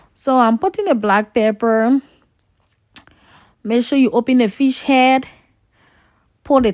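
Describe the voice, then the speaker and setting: A woman with a high voice at a fairly slow pace, long, frequent pauses, dry and close with no echo, in a very clean recording with a silent background. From Liberia. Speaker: home cooking vlogger. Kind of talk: cooking tutorial. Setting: home kitchen. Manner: casual, chatty.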